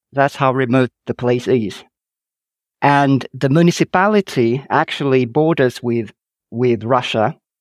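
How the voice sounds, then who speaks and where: A man's medium-pitched voice with a Finnish accent, at a very slow pace with ordinary pitch variation, dry and close with no echo, on a very clean recording with a silent background. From northern Finland, Kuusamo. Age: 50s. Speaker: author. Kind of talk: interview. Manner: halting, frequent repetitions.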